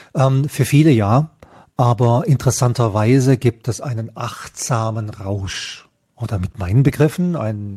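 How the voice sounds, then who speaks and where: Somewhat breathy and dark, mellow in tone, a man speaks at a fairly slow pace in a very clean recording with a silent background. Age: 50s. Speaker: health scientist and psychedelic researcher. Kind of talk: interview.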